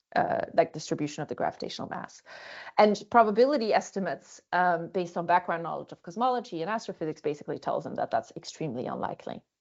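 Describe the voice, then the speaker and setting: Her pace is very fast and her pitch medium. This woman's intonation is lively, with big swings in loudness. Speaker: philosophy of science researcher. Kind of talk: lecture. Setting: video call.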